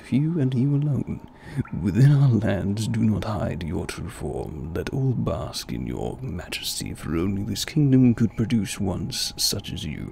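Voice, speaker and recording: Clear background noise sits behind a man doing a put-on character voice with a British accent. His pitch is fairly low and his pace moderate. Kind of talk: formal, archaic. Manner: over the top, theatrical.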